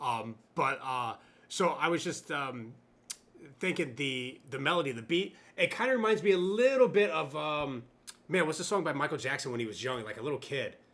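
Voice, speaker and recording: A man speaks in an unremarkable speaking voice, fairly high-pitched, with lively intonation at a moderate pace. The recording is very clean, with a silent background. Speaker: music reaction youtuber. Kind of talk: casual chat.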